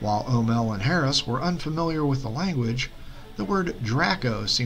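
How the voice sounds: The clip has a natural reading voice with lively intonation.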